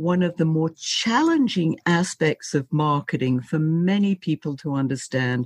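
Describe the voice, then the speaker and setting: A woman's pitch swings very widely. The audio is dry and close with no echo, over a quiet background. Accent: British. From Britain. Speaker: podcast host. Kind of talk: podcast interview.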